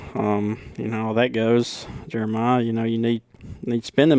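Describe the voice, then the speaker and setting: A man with a strong Southern US accent speaks in a dark, mellow tone with flat, monotone intonation. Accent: deep Southern. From Alabama. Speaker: lawn care business owner. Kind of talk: podcast interview. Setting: hotel room.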